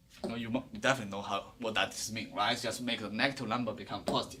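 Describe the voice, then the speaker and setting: A man speaks with vocal fry in a Chinese accent. Audible room echo surrounds his voice. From China. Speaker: professor. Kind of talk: lecture. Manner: fast.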